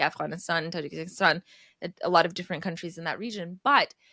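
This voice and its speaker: Speaking with a Texas accent, a woman talks at a fairly quick pace in a bright, sharp tone. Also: dry, close sound with no echo. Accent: American, Texas. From Texas, US (Iranian-born). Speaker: language teacher. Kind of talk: podcast interview.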